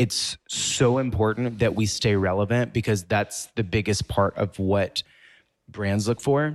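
In a fairly low pitch and with an American accent, a man uses an ordinary speaking voice, fairly even intonation and very even loudness at a fairly slow pace, in a very clean recording with a silent background. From US South, Mississippi. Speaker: fashion blogger and influencer. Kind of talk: interview.

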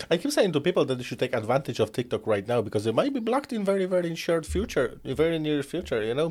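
Speaking at a very fast pace with hardly any pauses, a man with a non-native accent uses a fairly high voice with vocal fry. His pitch swings very widely. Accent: foreign-accented English. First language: not English. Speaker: podcast host. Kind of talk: casual interview chat. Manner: animated.

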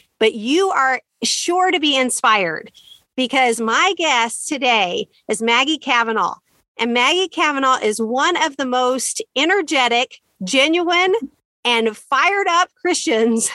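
A woman speaks in a high, raised and projected voice at a fairly slow pace, her intonation lively and her loudness very even. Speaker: podcast host. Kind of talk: podcast interview, encouraging.

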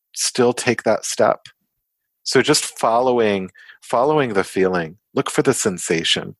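A man's medium-pitched voice at a fairly slow pace, with ordinary pitch variation and a dry, close sound with no echo. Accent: American. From US (Kansas, part of youth in the Netherlands). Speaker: psychology professor and therapist. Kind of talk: podcast interview.

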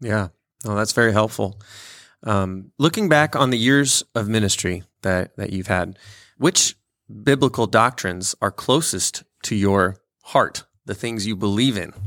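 A man's normal speaking voice, fairly low in pitch and fairly slow, with ordinary pitch variation and a dry, close sound with no echo. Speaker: pastor and podcast host. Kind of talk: interview.

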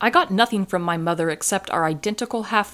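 In a very clean recording with a silent background, a woman with an ordinary speaking voice talks at a moderate pace, her medium pitch showing ordinary variation. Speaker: podcast host. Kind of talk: casual book-review chat.

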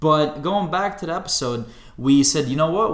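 A man with a fairly high-pitched voice speaks with lively intonation amid audible room echo. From Bosnia. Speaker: podcast co-host. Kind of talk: casual chat.

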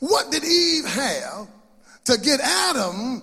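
A raised, projected voice with a warm, animated tone comes through over noticeable background noise. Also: man. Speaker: preacher. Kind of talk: sermon. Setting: church with congregation. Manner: animated, call-and-response, exclamatory; warm, jovial, laughing, humorous asides.

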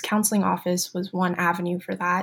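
A woman's somewhat breathy voice sits at a medium pitch and shows ordinary pitch variation. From Beijing, China. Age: young. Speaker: student and YouTuber. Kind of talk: interview.

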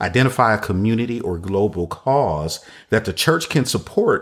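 Spoken at a moderate pace in an ordinary speaking voice, this is a very clean recording with a silent background. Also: man. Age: 50s. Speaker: church consultant podcast host. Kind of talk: solo podcast talk on church ministry. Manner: repetitive, restating phrases.

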